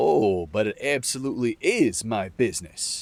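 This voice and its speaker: Using a gruff, put-on character voice, a man speaks at a moderate pace and medium pitch. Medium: read story. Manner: blunt, wry, commanding.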